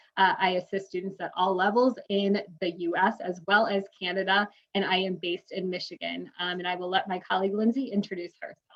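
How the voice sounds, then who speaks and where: A woman with a Midwestern accent talks at a fairly quick pace with hardly any pauses. Her pitch is medium and her intonation fairly even. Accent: nasally Midwestern. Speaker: university recruitment manager. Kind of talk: webinar panel moderation. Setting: online webinar.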